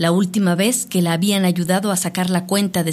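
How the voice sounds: Someone's natural reading voice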